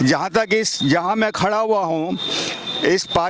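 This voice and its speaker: A high-pitched man with ordinary pitch variation over noticeable background noise. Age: old. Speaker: senior citizen resident interviewed. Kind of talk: street interview. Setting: outdoors in a park.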